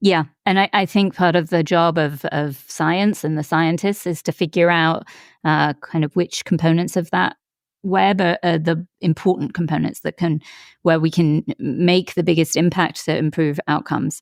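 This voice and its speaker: In an American accent, a woman talks at a moderate pace with fairly low pitch and fairly even intonation. It is an ordinary speaking voice, with a dry, close sound and no echo. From outside the US. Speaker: podcast host, physician. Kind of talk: interview.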